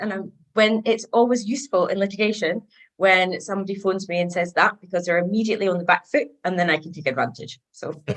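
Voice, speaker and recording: With a Scottish accent, a woman is speaking. Her intonation is lively. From east coast of Scotland. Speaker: solicitor. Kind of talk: casual interview.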